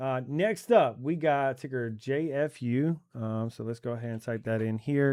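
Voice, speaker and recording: The recording is very clean, with a silent background. A man talks at a medium pitch with ordinary pitch variation. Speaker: stock trading educator. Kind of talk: screen-share tutorial. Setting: at a computer. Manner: fast.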